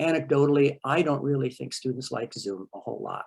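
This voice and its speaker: A man talks at a fairly high pitch with fairly even intonation. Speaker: college instructor. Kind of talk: panel meeting remarks. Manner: fast; halting with fillers.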